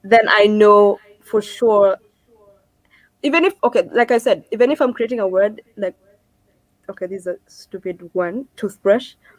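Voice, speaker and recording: Speaking at a moderate pace with long, frequent pauses, a woman with a Kenyan accent uses a fairly high pitch, and the sound is dry and close with no echo. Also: ordinary pitch variation. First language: Kikuyu. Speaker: singer-songwriter. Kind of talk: interview.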